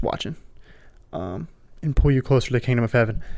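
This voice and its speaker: A man with an American accent speaks on a very clean recording against a silent background. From South Florida. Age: 20s. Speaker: podcast host. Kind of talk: testimony. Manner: casual.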